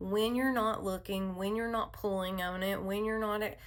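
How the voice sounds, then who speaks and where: Her voice falls in a medium range. The speaker is a woman. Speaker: therapist and hypnotherapist. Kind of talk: spoken personal message. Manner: soothing; casual, with fillers.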